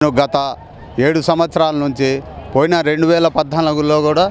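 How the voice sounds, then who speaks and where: Noticeable noise sits in the background. A man speaks at a fairly high pitch. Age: old. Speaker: local party worker. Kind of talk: street interview. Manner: halting, many restarts.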